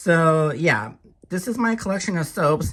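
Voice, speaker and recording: Speaking at a fairly slow pace, a woman uses a fairly low voice with ordinary pitch variation in a very clean recording with a silent background. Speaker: lifestyle vlogger. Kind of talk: casual haul video talk.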